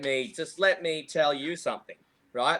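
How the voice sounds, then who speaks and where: With an Australian accent, a man speaks at a moderate pace in a fairly high pitch, bright and sharp in tone, with ordinary pitch variation. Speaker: golf coach. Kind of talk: podcast interview. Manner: loud; halting.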